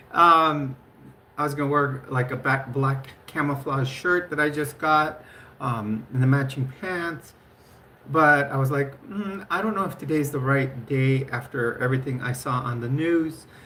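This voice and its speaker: The speech comes at a fairly slow pace, with audible room echo around it. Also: woman, very deep, low pitch for a woman, ordinary pitch variation. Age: 50s. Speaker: livestreamer. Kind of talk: casual live stream chat. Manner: halting, many fillers.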